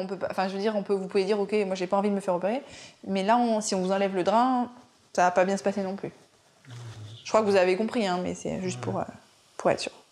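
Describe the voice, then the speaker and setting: A woman speaks at a very fast pace but with long, frequent pauses. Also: medium pitch for a woman, fairly even intonation. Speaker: surgeon. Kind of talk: casual chat.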